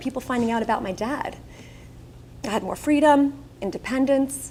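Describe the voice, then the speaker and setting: A woman with a Long Island accent talks at a fairly quick pace in a high pitch. Noticeable background noise runs behind her. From Long Island, New York. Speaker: keynote speaker. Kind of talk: keynote speech. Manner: animated.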